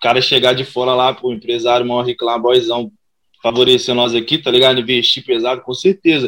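Fairly quick in pace, a man speaks at a medium pitch in an unremarkable speaking voice. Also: fairly even intonation. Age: 20s. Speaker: rap and funk artist. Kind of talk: casual interview.

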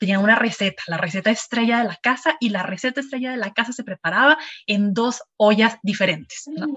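At a fairly quick pace, a woman speaks in a fairly high pitch with ordinary pitch variation. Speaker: podcast host. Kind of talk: casual interview.

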